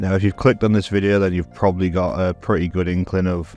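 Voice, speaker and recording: Over background music, a man with a very deep, low pitch talks at a fairly quick pace with fairly even intonation. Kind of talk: video essay voiceover.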